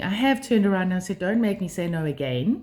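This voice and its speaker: A somewhat breathy woman with a South African accent, medium in pitch, talking very fast with lively intonation. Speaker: life skills vlogger. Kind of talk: monologue to camera. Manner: hesitant, many fillers.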